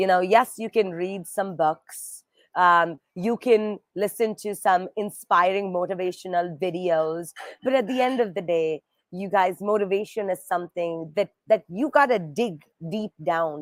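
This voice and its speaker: Speaking at a fairly slow pace in an animated tone, a woman with an Indian accent and a medium pitch shows ordinary pitch variation on a very clean recording with a silent background and a dry, close sound with no echo. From India, Bombay. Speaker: nonprofit fundraising executive. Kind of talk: livestream interview.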